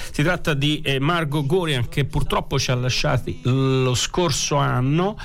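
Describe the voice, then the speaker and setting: A man talks at a fairly slow pace with hardly any pauses. His pitch is fairly high, with ordinary variation and very even loudness. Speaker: radio host. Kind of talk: radio show presentation, casual. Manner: rambling, hesitant, conversational.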